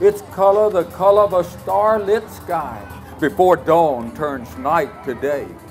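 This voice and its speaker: Music plays in the background as a man speaks at a very slow pace. His pitch is high and his intonation lively. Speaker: storyteller and author. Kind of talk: storytelling performance.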